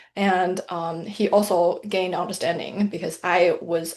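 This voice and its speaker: Fairly slow, flat, monotone speech from a woman at a medium pitch, in a Mandarin accent. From mainland China. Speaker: financial planner and author. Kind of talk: interview.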